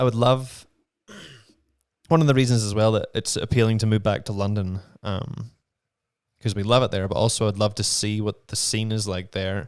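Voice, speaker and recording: In a Northern Irish accent, a man speaks at a moderate pace and a fairly low pitch with fairly even intonation. Long, frequent pauses break his speech on a very clean recording with a silent background. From Northern Ireland. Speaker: actor. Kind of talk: casual chat. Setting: studio.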